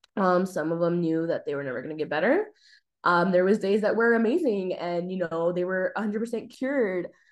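A woman with an American accent and a normal speaking voice, medium in pitch, at a fairly quick pace with ordinary pitch variation, against a quiet background. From US, El Paso, Texas. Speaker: public health student. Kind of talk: interview.

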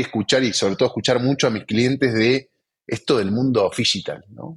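At a fairly quick pace, a man with an Argentine accent speaks at medium pitch. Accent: Argentine Spanish (Rioplatense). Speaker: podcast host, sales executive. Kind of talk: interview.

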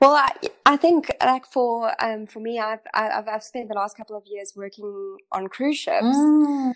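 On a very clean recording with a silent background, a woman speaks at a fairly slow pace in an unremarkable speaking voice with ordinary pitch variation. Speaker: podcast host. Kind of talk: interview intro and chat.

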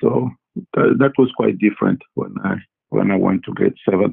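A man in a French accent speaks at a moderate pace. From Congo, Central Africa. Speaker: physician. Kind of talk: interview. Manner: halting, many fillers and repetitions.

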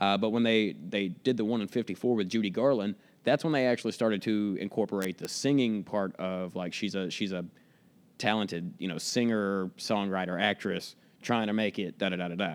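In a very clean recording with a silent background, a man with an American accent talks at a fairly low pitch and a fairly quick pace. He has a plain, everyday voice with ordinary pitch variation. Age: 20s. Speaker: DJ and actor. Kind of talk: casual chat.

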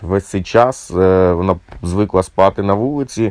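The delivery moves at a moderate pace. Its intonation is lively. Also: man. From Ukraine, Cherkasy. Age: 40s. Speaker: musician and volunteer soldier. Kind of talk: personal war testimony.

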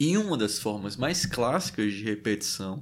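The pitch of this man's voice swings very widely. The recording is very clean, with a silent background. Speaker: podcast host reading a book aloud. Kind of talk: reading aloud with commentary. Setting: livestream on Instagram. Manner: hesitant, many fillers.

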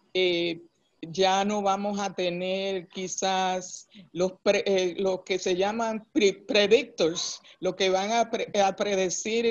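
This man-free clip features a woman at a medium pitch. Her pitch moves in an ordinary way. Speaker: human resources executive. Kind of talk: interview.

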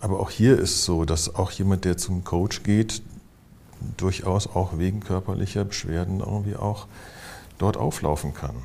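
The man's very deep, low pitch comes with a dark, mellow tone and a somewhat breathy quality. He moves at a moderate pace, with ordinary pitch variation and long, frequent pauses. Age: 60s. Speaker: physician and psychotherapist. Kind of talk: interview conversation.

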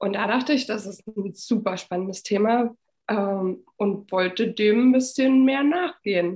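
A woman with a somewhat breathy voice speaks at a fairly slow pace, with a fairly high pitch and ordinary pitch variation. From eastern Germany, Frankfurt (Oder). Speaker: winemaker. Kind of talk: casual chat.

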